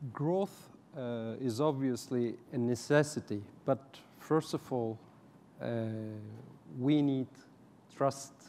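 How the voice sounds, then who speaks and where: With a non-native accent, a man talks at a very slow pace, leaving long, frequent pauses, his dark, mellow tone sitting at a medium pitch with ordinary pitch variation. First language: not English. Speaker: banker. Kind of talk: panel discussion. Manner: halting.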